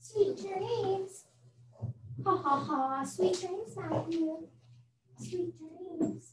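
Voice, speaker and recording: A put-on, cackling character voice, female-sounding and extremely high-pitched, very slow with long, frequent pauses and a slight echo. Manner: cackling, sinister.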